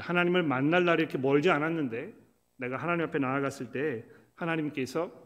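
With a plain, everyday voice, a man talks at a moderate pace, fairly high in pitch with ordinary pitch variation. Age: 50s. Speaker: pastor. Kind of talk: sermon.

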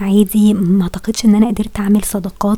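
A woman at a medium pitch and a fairly quick pace, amid noticeable background noise. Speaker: podcaster. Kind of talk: solo monologue.

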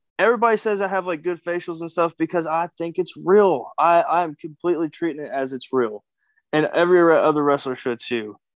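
A man with a Kentucky accent, high in pitch with ordinary pitch variation, at a fairly quick pace, in a dry, close sound with no echo and a quiet background. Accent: Kentucky Southern US. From Kentucky, US South. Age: 20s. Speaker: professional wrestler. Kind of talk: casual interview.

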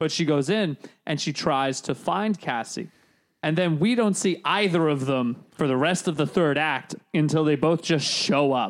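Here a man at a fairly high pitch speaks at a fairly slow pace. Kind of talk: carnival barker bit. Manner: loud, hawking, sing-song pitchman patter; playful, exaggerated, mock-enthusiastic.

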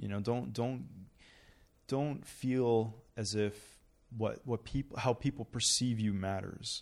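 A normal speaking voice with a Canadian accent, fairly slow pace and ordinary pitch variation, in a very clean recording with a silent background. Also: man. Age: 30s. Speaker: real estate broker and tech entrepreneur. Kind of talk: casual interview.

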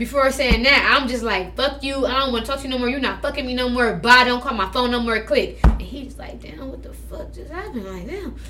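Over music in the background, a woman talks at a fairly quick pace with big swings in loudness. The room echo is audible. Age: 20s. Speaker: podcast guest. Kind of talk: casual chat.

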